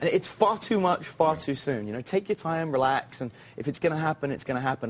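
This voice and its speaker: A man with a British accent, fairly high in pitch, with lively intonation at a very fast pace. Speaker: dating coach. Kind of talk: TV interview. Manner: casual, with fillers.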